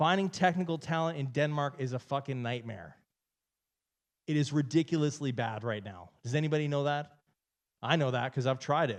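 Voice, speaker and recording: In a Canadian accent, a man speaks at a moderate pace with an animated tone, a fairly high pitch and ordinary pitch variation over a quiet background. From Canada. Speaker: entrepreneur and keynote speaker. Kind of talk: keynote speech. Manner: animated, casual.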